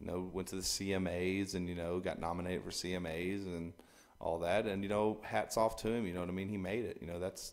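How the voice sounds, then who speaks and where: Fairly quick speech from a man with a very deep, low voice. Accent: Texan. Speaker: singer-songwriter. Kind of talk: interview. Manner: halting, many repetitions.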